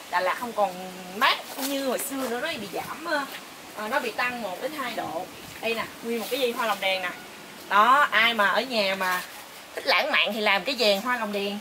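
A woman at a moderate pace with long, frequent pauses and ordinary pitch variation, over noticeable background noise. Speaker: travel vlogger. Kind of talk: casual vlog chat. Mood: cheerful, delighted. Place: garden.

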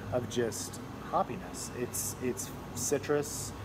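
A man talking at a very slow pace over noticeable background noise. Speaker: beer reviewer. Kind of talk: casual review chat. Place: bar. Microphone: phone near.

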